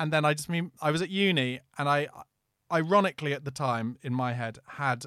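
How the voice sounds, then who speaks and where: A man with a London accent and a bright, sharp tone, fairly high in pitch and fairly quick, with ordinary pitch variation, in a very clean recording with a silent background. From East London. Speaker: podcast host. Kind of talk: casual chat.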